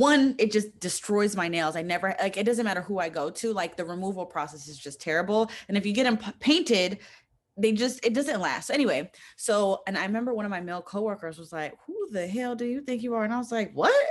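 Lively intonation and big swings in loudness mark this woman's unremarkable speaking voice. She is medium in pitch and talks at a fairly quick pace. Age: young. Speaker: podcast host. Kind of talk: casual chat; podcast intro and outro.

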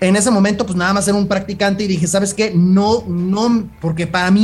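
The speaker is a man whose voice is pitched high. Behind him, music can be heard. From Jalisco, Mexico. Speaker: sports nutritionist and personal trainer. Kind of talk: casual interview chat.

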